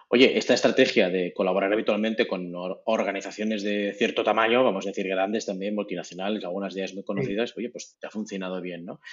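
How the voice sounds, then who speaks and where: At a very fast pace with hardly any pauses, a man speaks at fairly low pitch in monotone, flat intonation. His loudness swings widely over noticeable background noise. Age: 40s. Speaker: podcast host. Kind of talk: interview.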